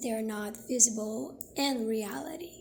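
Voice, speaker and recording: A woman speaks with a Brazilian Portuguese accent over noticeable background noise. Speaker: video essayist. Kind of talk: video essay narration.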